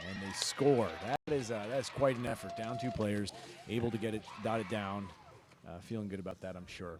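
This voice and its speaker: A man with an American accent speaks at a moderate pace in a fairly low pitch with ordinary pitch variation. Noticeable background noise runs underneath. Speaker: rugby commentator. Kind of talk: live commentary.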